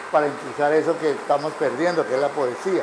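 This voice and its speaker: Through noticeable background noise, a man speaks at a fairly high pitch with fairly even intonation. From Colombia, Arauca. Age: 80s+. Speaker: writer. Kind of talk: public talk. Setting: café with live audience.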